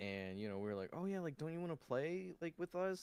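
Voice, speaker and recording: A man speaks quietly. His pitch swings very widely. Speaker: vtuber streamer. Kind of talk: casual chat. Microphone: too quiet on stream.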